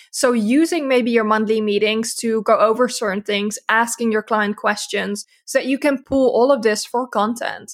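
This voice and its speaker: A woman with a Dutch accent and a fairly high pitch speaks at a moderate pace with fairly even intonation and hardly any pauses. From Netherlands. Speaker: social media agency owner. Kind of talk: casual interview.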